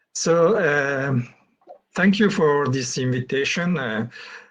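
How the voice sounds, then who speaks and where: With a French accent, a man talks at a very slow pace. His pitch variation is ordinary. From France. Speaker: plant pathologist. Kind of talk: lecture. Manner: halting.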